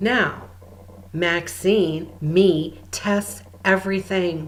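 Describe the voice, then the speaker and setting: Audible room echo surrounds a woman's voice. Her pitch is fairly low, with ordinary pitch variation. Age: 60s. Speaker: spiritual healer and channel. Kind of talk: spiritual guidance talk.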